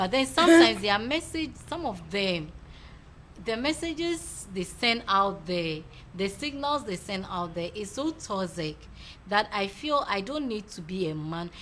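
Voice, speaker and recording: Loud and fairly slow, a woman speaks at a medium pitch with very wide pitch swings. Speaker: talk show host. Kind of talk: casual chat.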